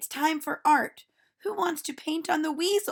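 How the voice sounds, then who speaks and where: This woman puts on a character voice with an extremely high pitch, talking at a moderate pace. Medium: read story. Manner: cheerful, playful.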